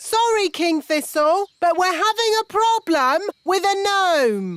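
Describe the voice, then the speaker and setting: A female-sounding, cartoonish character voice with an extremely high pitch. The delivery is fairly slow. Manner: blunt, slow on the uptake.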